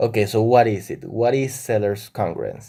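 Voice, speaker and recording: In a Spanish accent, a man talks at a moderate pace with a medium pitch, a dark, mellow tone and ordinary pitch variation. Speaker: math educator YouTuber. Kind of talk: tutorial.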